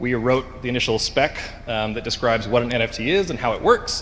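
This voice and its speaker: A man with a Canadian accent talks at a moderate pace and medium pitch against noticeable background noise. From western Canada, Vancouver. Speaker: conference speaker, engineering director. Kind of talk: conference talk. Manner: frequent filler 'um'.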